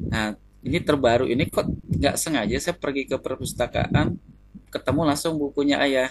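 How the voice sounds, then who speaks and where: With a Kalimantan accent, a man speaks at a fairly high pitch. His pace is moderate and his pitch variation ordinary. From East Kalimantan, Indonesia. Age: 30s. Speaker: consultation client. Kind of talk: consultation interview. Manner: halting.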